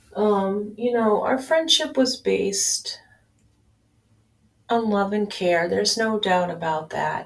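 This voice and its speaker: With lively intonation and long, frequent pauses, a woman speaks at a very slow pace in a medium pitch. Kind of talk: casual audio-only talk, personal update. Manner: low key.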